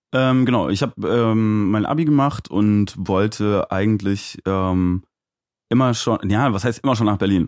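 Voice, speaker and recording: This man has a plain, everyday voice, fairly low in pitch with ordinary pitch variation, recorded very cleanly against a silent background with a dry, close sound and no echo. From Aachen, Germany. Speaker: DJ and music producer. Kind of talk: casual interview. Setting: live stream studio.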